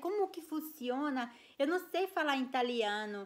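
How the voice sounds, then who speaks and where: A woman speaks in an animated tone with a Brazilian accent, her high pitch swinging very widely. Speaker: vlogger. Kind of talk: casual storytelling vlog. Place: home room. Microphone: phone near.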